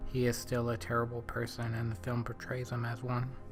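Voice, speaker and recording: Male speech at a moderate speed, backed by music. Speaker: film reviewer. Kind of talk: film commentary to camera. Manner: mumbling.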